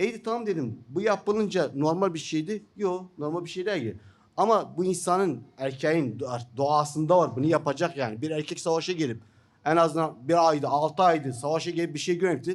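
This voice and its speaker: With an Iraqi accent, a man speaks at a moderate pace, his fairly high pitch varying in an ordinary way. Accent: Iraqi Turkmen Turkish. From northern Iraq (Turkmen). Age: 50s. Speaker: journalist and writer; journalist. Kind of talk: seminar talk. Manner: halting, many fillers. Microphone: podium.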